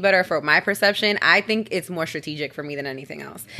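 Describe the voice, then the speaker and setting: On a very clean recording with a silent background, a woman with an American accent and a bright, sharp tone speaks at a medium pitch with ordinary pitch variation. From Bronx, New York. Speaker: podcast guest. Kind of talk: casual chat.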